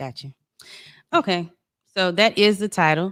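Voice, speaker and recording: A woman with a Southern US accent talks at a moderate pace, her pitch fairly low and her intonation fairly even. The recording is very clean with a silent background and a dry, close sound with no echo. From South Carolina, Georgetown area. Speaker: podcast guest. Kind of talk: personal testimony. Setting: studio.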